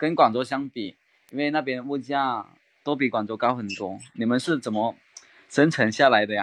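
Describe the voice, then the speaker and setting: A man's medium-pitched voice with a slight Cantonese accent, moderate pace and ordinary pitch variation. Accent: slight Cantonese-tinged Mandarin. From Guangdong, Maoming. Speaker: real estate rental worker, trainee. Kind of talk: casual chat practice. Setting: online voice call.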